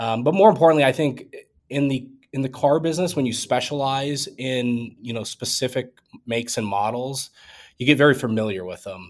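Delivered at a fairly quick pace with ordinary pitch variation and big swings in loudness, the speech is captured in a very clean recording with a silent background. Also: man, medium pitch for a man. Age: 30s. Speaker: car dealer. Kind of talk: interview. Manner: hesitant, many fillers.

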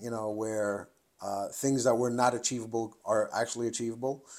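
A man speaks at a fairly quick pace in a plain, everyday voice, his pitch medium and his intonation fairly even. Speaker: competitive shooter and firearm instructor. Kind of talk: interview conversation.

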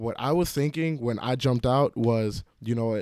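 A man with a New York accent at a moderate pace and ordinary pitch variation, in a very clean recording with a silent background and a dry, close sound with no echo. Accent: New York City English. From New York City (Queens), Jamaican immigrant family. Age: 20s. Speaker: college student. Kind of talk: personal storytelling monologue. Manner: casual, with filler words and repetitions.

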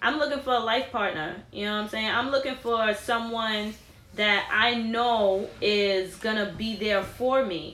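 Over noticeable background noise, a woman with a New York accent speaks at a fairly slow pace. Her pitch is fairly high, with ordinary variation. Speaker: podcast host. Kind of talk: casual chat.

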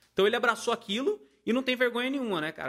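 Bright, sharp tone in a man's raised, projected voice. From Paraíba, Brazil. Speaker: band musician. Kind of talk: casual chat.

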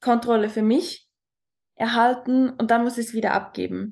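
A woman's fairly high voice at a fairly slow pace. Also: quiet background. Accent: Swiss German. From Switzerland. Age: 20s. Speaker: talent mentor. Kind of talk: personal testimony in interview.

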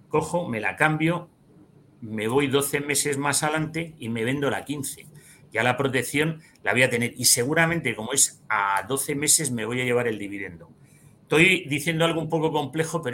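A man is speaking at a fairly high pitch. His tone is bright and sharp. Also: ordinary pitch variation, moderate pace. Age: 50s. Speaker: financial advisor and trader. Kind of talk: interview.

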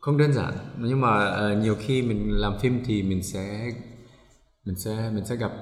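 Over noticeable background noise and audible room echo, a man with a fairly low pitch speaks at a fairly slow pace. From Germany. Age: 40s. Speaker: filmmaker and musician. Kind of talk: casual chat.

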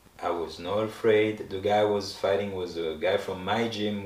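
With a French accent and a fairly low pitch, a man speaks in a monotone, flat intonation amid noticeable background noise and audible room echo. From France, Paris. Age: 30s. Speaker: professional boxer. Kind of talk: interview.

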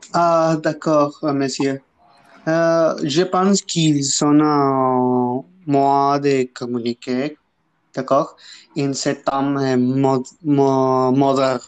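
Speaking at a very slow pace, a man with a fairly high pitch keeps his intonation fairly even. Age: 20s. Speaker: student guest. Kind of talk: casual discussion. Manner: halting.

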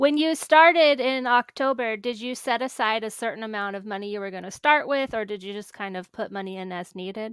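A woman with an unremarkable speaking voice and an American accent talks fairly quickly at a fairly high pitch, with hardly any pauses, ordinary pitch variation and big jumps in loudness, on a very clean recording with a silent background. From small-town US. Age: 30s. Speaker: podcast host. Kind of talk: interview.

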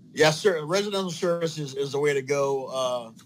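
A man with an ordinary speaking voice talks at a moderate pace in a fairly high pitch with ordinary pitch variation. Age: 40s. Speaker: plumber. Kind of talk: interview.

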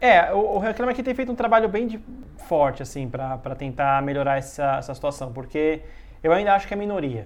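A man's fairly high voice at a fairly quick pace, with very wide pitch swings and noticeable background noise. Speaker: journalist and podcast host. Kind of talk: casual chat.

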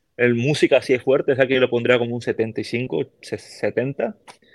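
Intonation stays fairly level in a dry, close sound without any echo. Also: man. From Peru, Callao (Lima). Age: 30s. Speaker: army musician. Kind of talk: casual chat.

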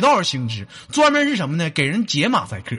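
In a raised, projected voice, the speaker rushes at a very fast pace through very wide pitch swings. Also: man. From Northeast China. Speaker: comedy call-in show host. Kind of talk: casual joking chat with callers. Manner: animated, laughing.

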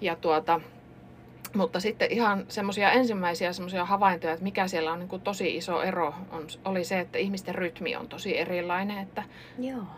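Against noticeable background noise, a woman with medium pitch talks at a fairly quick pace. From Finland, Kuopio and central Finland. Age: 40s. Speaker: pharmacist. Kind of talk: casual interview. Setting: studio.

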